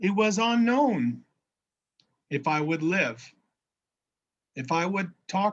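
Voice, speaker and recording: A man with an American accent speaks at a high pitch and a very slow pace, using very wide pitch swings and long, frequent pauses. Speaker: minister. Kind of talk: sermon. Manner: halting.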